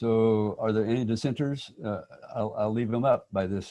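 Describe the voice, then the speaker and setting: A man with an American accent talks at a moderate pace and medium pitch. His tone is dark and mellow, with ordinary pitch variation. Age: old. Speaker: local history enthusiast. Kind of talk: casual chat. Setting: video call.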